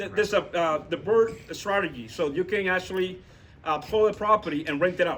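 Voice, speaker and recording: A man with a non-native accent at a moderate pace, his intonation lively. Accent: foreign accent, self-noted. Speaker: real estate investor. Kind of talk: talk with audience Q&A at meetup. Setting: meetup room with audience. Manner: halting, many fillers and repetitions.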